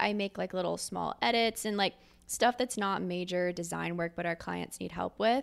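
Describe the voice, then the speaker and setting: Medium in pitch, a woman talks at a moderate pace in a normal speaking voice with fairly even intonation. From Philadelphia, Pennsylvania. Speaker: operations director at a creative agency. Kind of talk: casual interview chat.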